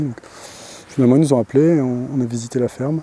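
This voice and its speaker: The speaker is a man of medium pitch. His intonation is fairly even. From Paris region, France. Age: 30s. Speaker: dairy farmer. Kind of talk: interview testimony. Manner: halting, many hesitations.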